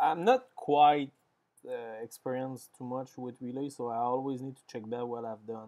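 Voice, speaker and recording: Here a man speaks at a medium pitch in a French accent. His intonation is monotone and flat. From France. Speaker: software developer streamer. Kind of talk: live coding stream. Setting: live stream. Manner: halting.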